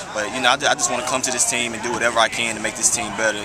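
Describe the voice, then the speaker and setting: Against crowd noise in the background and audible room echo, a man speaks at a very fast pace. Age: 20s. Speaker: college football player. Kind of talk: interview.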